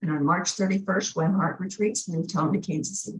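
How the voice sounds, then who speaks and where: A woman's somewhat breathy voice, fairly quick and fairly even in intonation. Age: 70s. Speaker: minister. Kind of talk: spiritual talk.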